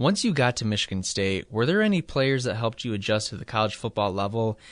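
The speaker has a normal speaking voice and a fairly quick pace. The background is quiet. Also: man. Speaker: sports show host. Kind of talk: interview.

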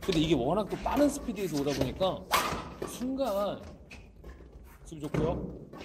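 With noticeable background noise behind him, a man speaks at a moderate pace in a high pitch, with very wide pitch swings and long, frequent pauses. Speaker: badminton match commentator. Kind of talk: live sports commentary.

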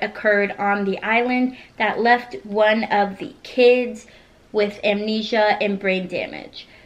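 Here a woman speaks at a very slow pace. Her intonation is fairly even. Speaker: book reviewer. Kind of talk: casual vlog chat. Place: home room. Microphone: camera far.

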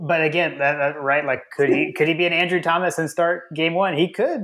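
Someone with an American accent talks at a fairly quick pace with ordinary pitch variation. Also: man. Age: 40s. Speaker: sports podcast host. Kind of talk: casual chat.

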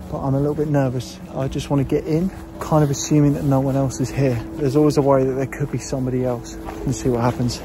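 Over noticeable background noise, a man talks at a very fast pace with fairly even intonation in a dry sound with no echo. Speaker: vlogger filming the exploration. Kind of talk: casual vlog narration. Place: forest. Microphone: phone near.

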